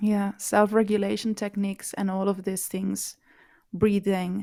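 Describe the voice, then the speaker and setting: In a very clean recording with a silent background, a woman with a medium pitch and a dark, mellow tone speaks fairly slowly in a flat monotone, leaving long, frequent pauses. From Catalonia. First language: Catalan. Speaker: language activist. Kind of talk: interview. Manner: halting.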